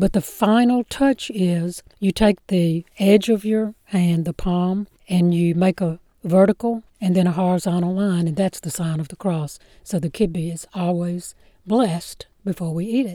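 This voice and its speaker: In a Mississippi accent, a woman speaks at a fairly slow pace and medium pitch with ordinary pitch variation and a dark, mellow tone, recorded very clean with a silent background and a dry, close sound with no echo. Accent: US Southern (Mississippi). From Mississippi Delta (Clarksdale). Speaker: professional storyteller. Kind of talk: interview, storytelling.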